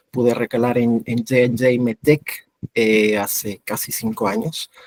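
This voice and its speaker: Here a man speaks at a medium pitch in a dry, close sound with no echo. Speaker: medical affairs lead, former physician. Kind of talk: webinar panel talk.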